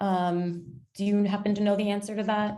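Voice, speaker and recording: Speaking at a moderate pace, a woman has a fairly high pitch and a normal speaking voice. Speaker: webinar moderator. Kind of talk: webinar Q&A moderation.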